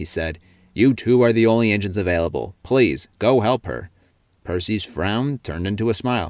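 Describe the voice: What you hear is plain reading aloud.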